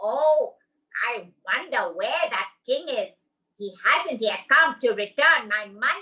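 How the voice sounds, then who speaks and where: A woman speaks in a put-on character voice. Her pitch is high and her pace fairly slow. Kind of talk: bedtime story. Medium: read story. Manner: lively, earnest.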